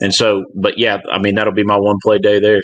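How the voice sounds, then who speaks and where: A man speaks in a Southern US accent. His pitch is fairly low and his intonation monotone and flat. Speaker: gambling podcast guest. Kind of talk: casual chat.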